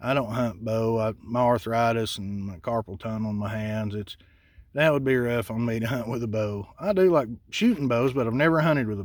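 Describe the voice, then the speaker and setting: This is a man speaking. His pace is moderate and his pitch varies in an ordinary way. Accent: American. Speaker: hunting and shooting channel host. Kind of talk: casual vlog. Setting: outdoors at a shooting bench. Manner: relaxed, many filler words.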